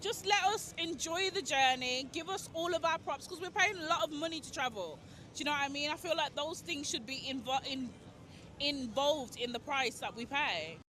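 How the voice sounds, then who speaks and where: Over noticeable background noise, a woman with a high pitch uses a raised, projected voice, lively intonation and a moderate pace. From England. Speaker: festival-goer interviewed on the street. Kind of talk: street interview. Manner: casual, chatty.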